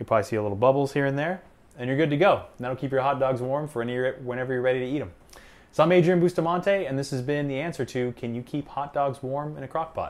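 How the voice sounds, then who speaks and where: A man rushes along at a very fast pace, his pitch variation ordinary. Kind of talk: tutorial. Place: kitchen. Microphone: lapel.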